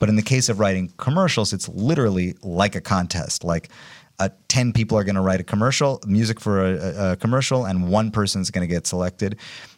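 This man has a normal speaking voice with fairly low pitch. He talks at a fairly quick pace with ordinary pitch variation. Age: 40s. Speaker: music producer and musician. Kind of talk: casual interview chat.

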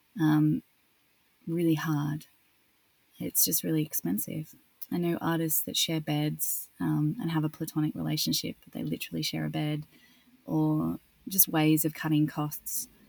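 A woman speaks at a moderate pace in an Australian accent, with long, frequent pauses. The recording is very clean, with a silent background. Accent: Australian, nasal. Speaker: actress. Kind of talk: interview.

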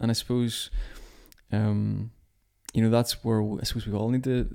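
This man has a Belfast accent and a fairly low pitch with a dark, mellow tone. He talks at a fairly quick pace with fairly even intonation. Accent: Belfast Northern Irish. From Northern Ireland, near Belfast. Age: 30s. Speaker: church leader. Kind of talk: casual conversation. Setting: kitchen table at home.

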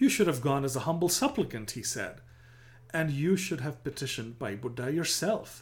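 This man's voice sits fairly high in pitch, sounds somewhat breathy, and has lively intonation. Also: moderate pace. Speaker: narrator. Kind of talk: scripted narration of historical storytelling; dramatic narration, storytelling. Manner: dramatic, vivid, building tension; measured, formal.

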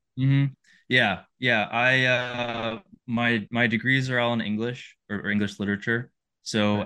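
A man with an American accent, medium pitch, fairly even intonation and a fairly slow pace. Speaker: managing editor and outdoor writer. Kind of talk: casual interview chat.

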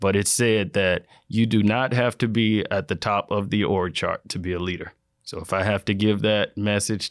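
A man with an American accent, an ordinary speaking voice, at a moderate pace. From Florida, small town. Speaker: water quality manager. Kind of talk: interview conversation.

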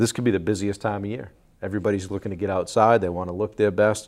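Fairly low in pitch and fairly even in intonation, a man talks in a plain, everyday voice. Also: very clean recording, silent background. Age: 50s. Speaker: podcast host. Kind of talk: casual interview.

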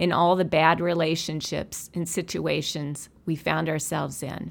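A woman talks at a fairly slow pace with vocal fry. The recording is very clean, with a silent background. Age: 60s. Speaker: podcast host and counselor. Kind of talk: monologue.

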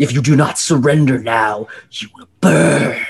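A man puts on a raspy character voice at a medium pitch and a fairly slow pace.

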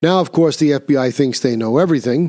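A man speaks at a moderate pace with lively intonation, in an unremarkable speaking voice. The recording is very clean, with a silent background. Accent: American. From New York City. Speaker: podcast host. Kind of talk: solo commentary.

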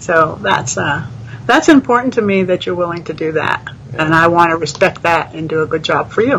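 Noticeable background noise accompanies a woman with a fairly low pitch. She speaks at a moderate pace with lively intonation. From New England (New Hampshire). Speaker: retiree and beta reader. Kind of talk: casual interview. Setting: live video stream.

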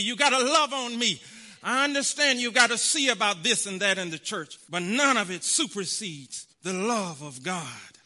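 In a raised, projected voice, a man with an extremely high pitch and a bright, sharp tone speaks at a moderate pace with lively intonation. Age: 40s. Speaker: preacher. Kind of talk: sermon.

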